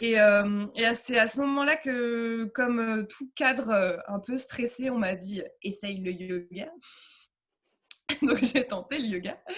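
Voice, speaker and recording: A woman speaks at a very slow pace with a fairly high pitch. Her loudness swings widely. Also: ordinary pitch variation. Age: 30s. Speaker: yoga teacher. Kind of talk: interview. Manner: hesitant, many fillers.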